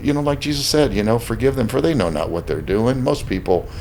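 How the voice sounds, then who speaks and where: Over noticeable background noise, a man with an American accent speaks at a medium pitch with very wide pitch swings. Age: 60s. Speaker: restaurant owner. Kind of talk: casual interview chat. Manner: halting, with frequent repetitions.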